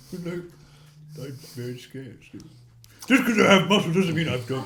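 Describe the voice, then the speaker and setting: Putting on a character voice, a man talks fairly quickly at a fairly high pitch with very wide pitch swings, and an audible echo can be heard. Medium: actual play. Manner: clipped, evasive.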